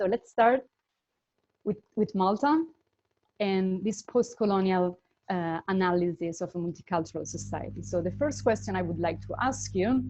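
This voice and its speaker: A woman with an Italian accent speaks at a moderate pace. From Italy. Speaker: intercultural management consultant. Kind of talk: webinar presentation. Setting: online webinar.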